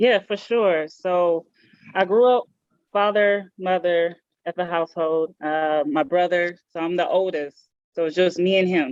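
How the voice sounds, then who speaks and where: A woman's fairly low voice with ordinary pitch variation, at a fairly slow pace, in a dry, close sound with no echo. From South Central Los Angeles (Watts), US. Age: 30s. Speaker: basketball league commissioner. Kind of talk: podcast interview.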